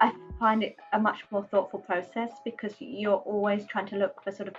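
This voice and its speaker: A somewhat breathy woman with an English accent talks at a moderate pace and medium pitch, her intonation fairly even. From England. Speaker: artist. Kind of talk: interview monologue. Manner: hesitant, many fillers.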